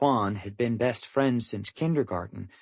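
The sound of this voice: The reading voice stays unforced, and its pitch moves in an ordinary way.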